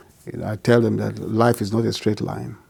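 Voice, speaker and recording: The speaker is a man. He has a Nigerian accent. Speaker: physician and pastor. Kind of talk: interview answer.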